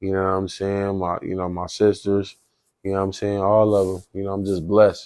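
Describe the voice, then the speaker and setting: Monotone, flat intonation marks this man's fairly low voice. He speaks at a fairly quick pace on a very clean recording with a silent background. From US Pacific Northwest, Northeast Portland, Oregon. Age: 20s. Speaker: youth activist and football player. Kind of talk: podcast interview. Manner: casual, filler-heavy.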